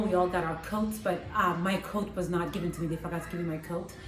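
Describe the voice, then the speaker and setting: Very fast speech comes from a woman with a fairly low pitch. Noticeable background noise sits behind her. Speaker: empowerment coach. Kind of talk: casual talk to camera.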